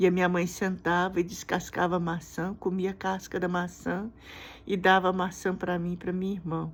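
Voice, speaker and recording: At a moderate pace, the voice stays monotone and flat in a very clean recording with a silent background. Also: woman. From Brazil. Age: 60s. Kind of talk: personal testimony. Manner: halting.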